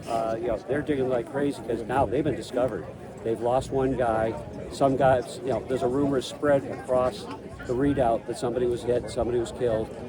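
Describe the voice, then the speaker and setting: Amid noticeable background noise and audible room echo, a man with an American accent speaks at a fairly quick pace and medium pitch with fairly even intonation. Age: 60s. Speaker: historical reenactor and historian. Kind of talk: historical explanation to bystanders. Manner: halting, many fillers.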